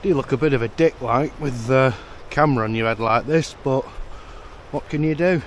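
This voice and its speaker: Noticeable background noise surrounds a man with a British accent. He speaks at a moderate pace with a fairly high pitch. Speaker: tech reviewer. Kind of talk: vlog-style product review. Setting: outdoors. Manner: loud.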